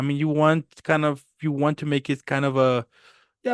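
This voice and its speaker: Against a quiet background, a man talks with a Spanish accent. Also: dry, close sound with no echo. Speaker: podcast host. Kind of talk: casual chat. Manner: halting, many fillers.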